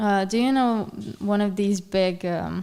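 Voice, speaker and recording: A woman speaks with a Hungarian accent in a dark, mellow, medium-pitched voice at a fairly slow pace. Her intonation is fairly even, and the recording is very clean with a silent background. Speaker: journalist. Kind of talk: casual chat. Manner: halting.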